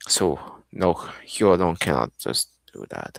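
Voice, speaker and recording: Recorded with a dry, close sound and no echo, a man speaks in a very deep, low pitch with vocal fry. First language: Arabic. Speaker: streamer. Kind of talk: live stream gameplay commentary. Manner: halting, self-correcting.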